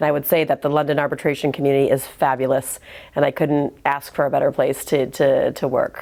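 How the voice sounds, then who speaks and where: In an American accent, a woman talks fairly quickly at a very deep, low pitch, with a dark, mellow tone, monotone, flat intonation and very even loudness. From US Midwest, Michigan. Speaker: arbitration lawyer. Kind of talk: interview. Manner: frequent fillers and repetitions.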